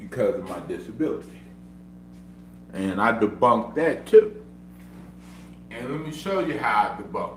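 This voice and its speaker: In a room with audible echo, a man speaks at a moderate pace in an animated tone, his loudness swinging widely between long, frequent pauses. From Oklahoma. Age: 30s. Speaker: streamer. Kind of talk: casual livestream talk. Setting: at home.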